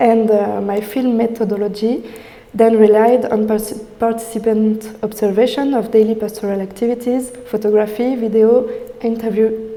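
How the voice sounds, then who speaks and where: A woman with a fairly high pitch speaks at a moderate pace with monotone, flat intonation, recorded with audible room echo and noticeable background noise. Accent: French. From France. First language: French. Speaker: PhD student researcher. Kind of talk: academic presentation. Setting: in-person talk with audience. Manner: halting, many fillers.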